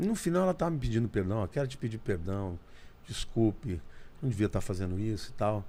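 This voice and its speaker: Delivery comes at a moderate pace with ordinary pitch variation. The tone is dark and mellow. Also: man. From Brazil, interior of São Paulo state (Olímpia). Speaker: pastor and theologian. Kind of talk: testimony.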